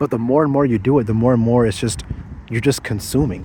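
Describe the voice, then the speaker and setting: Here a man speaks at a medium pitch in a somewhat breathy way. His tone is dark and mellow. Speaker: vlogger. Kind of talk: personal vlog monologue. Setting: outdoors. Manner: stuttering over words.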